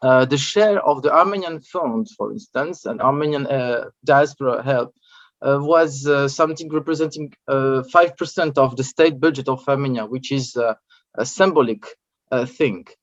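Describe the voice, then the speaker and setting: In a French accent, the speaker talks at a moderate pace with ordinary pitch variation. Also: man, fairly high pitch for a man. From France. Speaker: journalist and researcher. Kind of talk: conference talk. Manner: halting, many hesitations.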